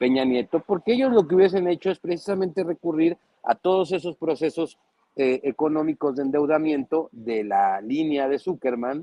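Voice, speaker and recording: Speaking at a moderate pace with a Mexican accent, a man's voice makes very wide pitch swings. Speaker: political commentator. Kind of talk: panel discussion. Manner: animated.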